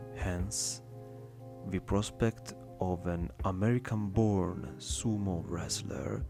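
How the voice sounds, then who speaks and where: A man's fairly low voice with a non-native accent, very slow pace and lively intonation, music in the background. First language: not English. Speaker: ASMR reader. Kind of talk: ASMR reading of an academic text. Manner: soft-spoken.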